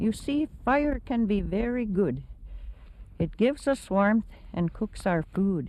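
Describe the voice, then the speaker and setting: A woman with a dark, mellow tone speaks at a fairly slow pace. Her medium-pitched voice has lively intonation. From Saskatchewan, Canada. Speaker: Cree Elder. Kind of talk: grandmother telling story to grandchildren.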